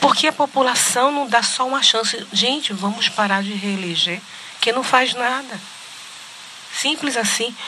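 Noticeable background noise sits behind a woman with a high pitch and ordinary pitch variation. She leaves long, frequent pauses. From Salvador, Bahia, Brazil. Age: 50s. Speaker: political candidate and journalist. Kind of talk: interview. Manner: halting.

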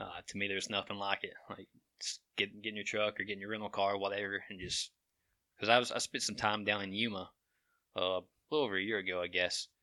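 A man with a Southern US accent talks at a very fast pace with a fairly low pitch, monotone, flat intonation and a bright, sharp tone, in a dry, close sound with no echo on a very clean recording with a silent background. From Alabama, Walker County. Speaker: GIS mapping professional. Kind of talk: casual chat.

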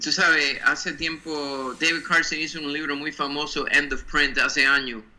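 Over noticeable background noise, a man with a fairly high pitch talks at a fairly slow pace with hardly any pauses. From Cuba, then Miami from childhood. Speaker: graphic designer. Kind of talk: interview. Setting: video call. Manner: halting, with repeated words.

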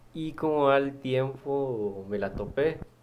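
A man talks in a normal speaking voice. His pitch sits in the medium range with ordinary pitch variation. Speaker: radio co-host. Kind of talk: casual chat.

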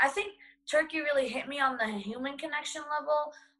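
A woman with an American accent speaks at a fairly quick pace. Her pitch is high. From United States. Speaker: blind traveler and speaker. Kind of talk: panel discussion. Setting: video call.

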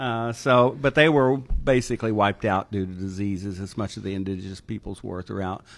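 A man with an American accent and an unremarkable speaking voice talks at a moderate pace with hardly any pauses. His delivery has ordinary pitch variation and big swings in loudness. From New York City, Brooklyn. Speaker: co-host and political science professor. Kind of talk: lecture.

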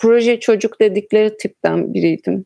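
A woman's dark, mellow tone at a medium pitch and a fairly slow pace, with a dry, close sound and no echo. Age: 20s. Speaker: writer and illustrator. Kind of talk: casual chat.

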